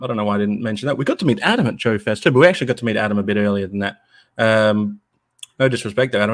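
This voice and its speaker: Speaking very fast, a man uses an Australian accent. His pitch is fairly low, with ordinary variation. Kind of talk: casual chat.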